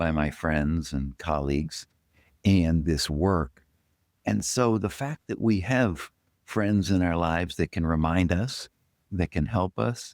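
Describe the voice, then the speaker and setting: Lively intonation carries a very slow delivery in a very clean recording with a silent background and a dry, close sound with no echo. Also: man, very deep, low pitch for a man. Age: 70s. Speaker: doctor and podcast host. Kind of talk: casual chat.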